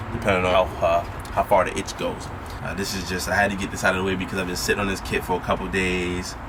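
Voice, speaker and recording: The speech is mumbled at a very fast pace in a monotone, flat intonation. Noticeable background noise and audible room echo run through the clip. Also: man, very deep, low pitch for a man. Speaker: car enthusiast vlogger. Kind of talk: casual unboxing vlog. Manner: rambling, mumbling.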